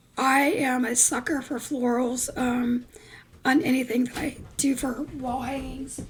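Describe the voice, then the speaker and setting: A woman talks at a high pitch with ordinary pitch variation. Noticeable background noise runs under her voice. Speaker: craft video creator. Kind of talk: tutorial. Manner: casual, many fillers.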